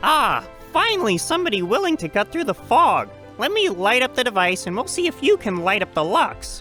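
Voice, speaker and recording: Someone performs a put-on character voice at a fairly quick pace. Clear music plays in the background. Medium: audio drama. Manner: lively, warm.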